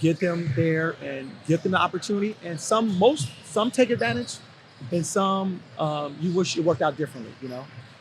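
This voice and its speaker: Over noticeable background noise, a man talks at a fairly quick pace in a high voice with an American accent and ordinary pitch variation. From Los Angeles (Compton), California. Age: 50s. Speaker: basketball coach. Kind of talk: podcast interview. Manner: casual, conversational with fillers.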